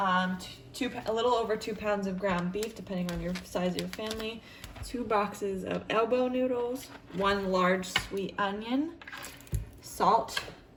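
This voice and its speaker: At a fairly slow pace, a woman speaks at medium pitch with ordinary pitch variation and long, frequent pauses. Noticeable background noise is present. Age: 20s. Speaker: stay-at-home mother. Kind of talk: casual cooking tutorial to camera.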